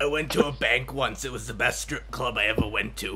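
Over loud background noise, a man does a put-on character voice at a fairly quick pace. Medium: role play.

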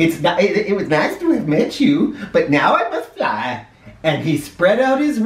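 What you hear is a natural reading voice.

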